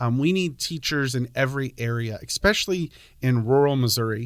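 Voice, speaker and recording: An ordinary speaking voice with an American accent shows ordinary pitch variation. The recording is very clean, with a silent background. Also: man. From Pennsylvania. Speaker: high school agriculture teacher. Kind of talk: casual interview.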